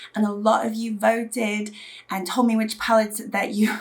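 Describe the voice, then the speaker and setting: The speaker sounds somewhat breathy and keeps a moderate pace. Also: woman. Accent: British. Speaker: beauty youtuber. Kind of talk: casual vlog talk to camera.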